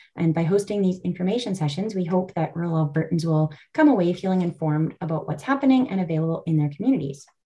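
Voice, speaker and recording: A woman's dark, mellow, somewhat breathy voice at a fairly low pitch, very fast pace with hardly any pauses, and ordinary pitch variation. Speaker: rural health nonprofit staff and session moderator. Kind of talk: webinar hosting. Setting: video call. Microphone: video call.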